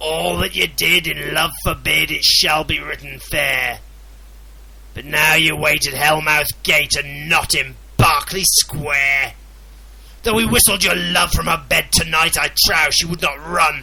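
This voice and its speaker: Putting on a raspy character voice, a man speaks at a fairly slow pace over light background noise. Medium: read story. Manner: scornful, commanding.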